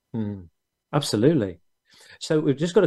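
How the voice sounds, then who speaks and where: Speaking with a British accent at a very fast pace, a man has a dark, mellow tone and lively intonation. The recording is very clean, the background silent. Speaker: business show host. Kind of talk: interview. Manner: halting, many fillers.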